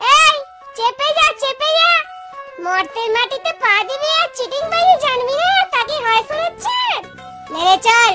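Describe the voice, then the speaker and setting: Over clear music in the background, a female-sounding cartoonish character voice squeaks at an extremely high pitch and a moderate pace. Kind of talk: comic cartoon voice acting. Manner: bossy, teasing.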